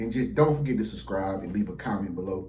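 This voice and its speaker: A man races along at a very fast pace, his fairly low, somewhat breathy voice showing ordinary pitch variation against audible room echo. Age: 30s. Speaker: YouTuber. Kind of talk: casual vlog monologue. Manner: casual, conversational with many fillers.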